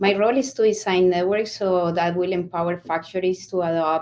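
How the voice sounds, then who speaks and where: A moderate pace, with a Colombian accent. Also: woman. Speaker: network solutions architect. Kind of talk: panel discussion. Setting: online conference session.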